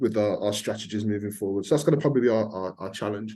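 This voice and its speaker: The background is quiet. A man speaks at a fairly low pitch with a dark, mellow tone. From Birmingham, England. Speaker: fintech company founder. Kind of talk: podcast panel discussion. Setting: podcast recording.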